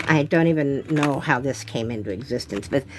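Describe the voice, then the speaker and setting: A woman talks at a moderate pace with lively intonation. Noticeable background noise runs behind her. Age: 70s. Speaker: artist. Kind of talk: casual chat. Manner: chatty, thinking aloud.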